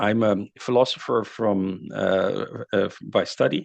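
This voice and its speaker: A man with a Dutch accent, fairly low in pitch, with ordinary pitch variation, over a quiet background. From Netherlands. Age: 60s. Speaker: climate author and speaker. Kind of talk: lecture. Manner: halting, many fillers.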